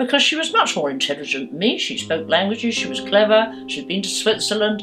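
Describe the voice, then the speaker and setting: There is music in the background as a woman speaks. She has a southern English accent and a medium pitch. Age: 80s+. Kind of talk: interview answer.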